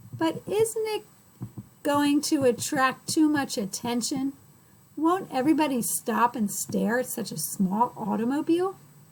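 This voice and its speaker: High-pitched put-on character voice from a woman. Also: moderate pace. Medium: read story. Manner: polite.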